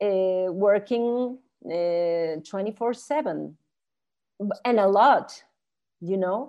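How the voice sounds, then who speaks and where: A woman talks with a Spanish accent at a medium pitch. Her pitch variation is ordinary, and the background is quiet. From Chile, raised in Mexico. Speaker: art historian, professor and author. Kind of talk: casual interview conversation. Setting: video call.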